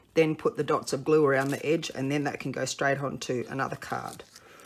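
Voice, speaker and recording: Talking at a moderate pace, a woman speaks with an Australian accent. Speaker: papercraft demonstrator. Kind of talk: tutorial.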